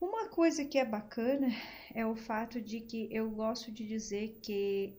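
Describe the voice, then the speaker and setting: Fairly slow and fairly high in pitch, a woman talks in a plain, everyday voice. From Brazil, Rio Grande do Sul (Gravataí). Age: 40s. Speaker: psychologist. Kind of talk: podcast interview.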